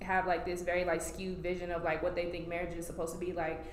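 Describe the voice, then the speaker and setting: The speaker has an American accent. Noticeable background noise and audible room echo are present. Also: woman. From Colorado. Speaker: photographer and creative director. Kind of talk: casual chat.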